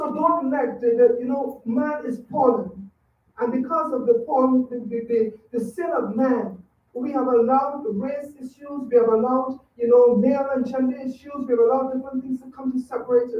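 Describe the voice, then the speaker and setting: A woman's high-pitched voice with a slight Trinidadian accent, at a moderate pace, with fairly even intonation and big swings in loudness. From Trinidad and Tobago. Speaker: public commenter at school board meeting. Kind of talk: public comment speech. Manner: halting.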